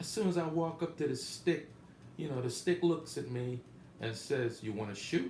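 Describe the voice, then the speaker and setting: A somewhat breathy man's voice sounds with audible room echo around it. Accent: American. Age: 60s. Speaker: gambling vlogger. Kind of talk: casual monologue trip report. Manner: casual, halting with many fillers.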